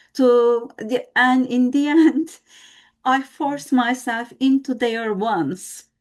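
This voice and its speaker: In a Turkish accent, a woman speaks very slowly in a high voice with ordinary pitch variation. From Turkey. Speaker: team member, former radio journalist. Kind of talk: podcast interview. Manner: halting.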